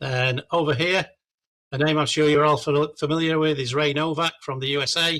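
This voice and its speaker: A man with an English accent, fairly high-pitched, moderate in pace and monotone with flat intonation. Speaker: amateur radio product specialist. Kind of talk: club presentation. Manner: halting.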